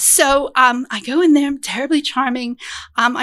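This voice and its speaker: Noticeable background noise sits behind a woman with a high pitch. She talks at a moderate pace in an animated tone. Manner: animated storyteller.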